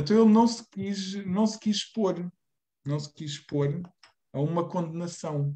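A man speaks at a very slow pace with a high pitch and a dark, mellow tone. His intonation is lively, and the background is quiet. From Portugal. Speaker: reading group moderator; presenter. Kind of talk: moderated discussion. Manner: halting. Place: home room. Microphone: video call.

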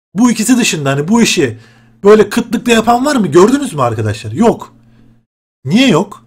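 A man talks with lively intonation at a moderate pace against a quiet background. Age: 20s. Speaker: gaming YouTuber; gaming youtuber. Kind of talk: casual vlog talk to viewers. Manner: animated, conversational. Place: home room. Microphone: webcam.

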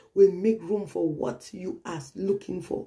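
Against a quiet background, a woman of medium pitch speaks at a fairly slow pace. Her voice carries vocal fry. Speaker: pastor. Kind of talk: prophetic sermon. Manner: earnest, urgent, repetitive; direct exhortation, preacherly. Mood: earnest, emotive, sometimes smiling.

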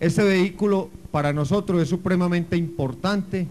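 A man's high-pitched voice, fairly even in intonation, at a fairly slow pace. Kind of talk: formal public speech. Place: street.

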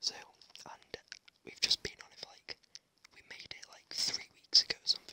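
Whispering at a moderate pace. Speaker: ASMR gamer. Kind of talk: ASMR gaming commentary. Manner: whispered. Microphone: studio mic.

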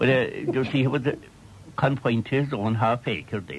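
At a moderate pace, a man speaks with a Cork accent. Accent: Irish, County Cork. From Ireland. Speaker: storyteller. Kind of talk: radio interview reminiscence. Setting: radio broadcast recorded off air. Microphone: old recording.

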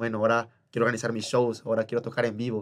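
Over a quiet background, a man speaks at a medium pitch. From Oaxaca, Mexico. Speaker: musical theatre actor. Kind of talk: casual chat. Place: studio. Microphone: studio mic.

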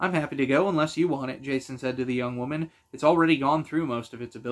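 Pitch moves in an ordinary way here. The delivery is plain reading aloud.

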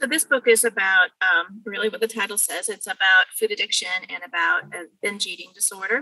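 A woman at a fairly quick pace, big swings in loudness, in a dry, close recording with no echo. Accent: Californian. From California, Bakersfield. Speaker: mediator and former philosophy teacher. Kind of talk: interview conversation.

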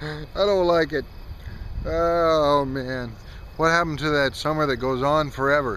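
A man speaks fairly slowly. The sound is dry with no echo, with light background noise. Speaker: vlogger. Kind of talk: casual vlog chat. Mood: wistful, reflective, light laughs. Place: open country. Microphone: phone near.

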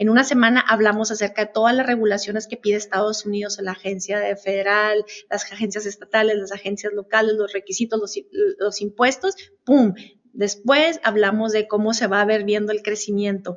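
Over a quiet background, a woman talks at a fairly quick pace with a fairly high pitch and monotone, flat intonation. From northern Mexico, Chihuahua border; northern Mexico. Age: 50s. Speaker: customs broker; guest. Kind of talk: interview. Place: meeting room. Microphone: video call.

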